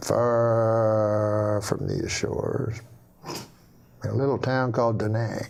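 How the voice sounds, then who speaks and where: The tone is deadpan and the loudness very even. Delivery is very slow, with long, frequent pauses. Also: man. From Canada. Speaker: stand-up comedian. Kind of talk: joke telling on a talk show. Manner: slow, almost stuttering deadpan.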